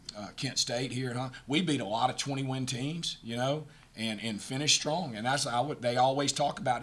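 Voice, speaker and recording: With a Southern US accent, a man speaks at a fairly quick pace with ordinary pitch variation as room echo sounds around him. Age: 60s. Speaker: college basketball head coach. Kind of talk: post-game press conference. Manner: halting, many repeated words.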